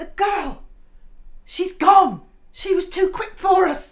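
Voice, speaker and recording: Someone performs a put-on character voice at an extremely high pitch and a very slow pace. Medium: audio drama. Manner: theatrical, gushing.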